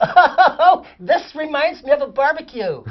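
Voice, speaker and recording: A squeaky, high-pitched put-on character voice speaks at a fairly slow pace. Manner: mincing.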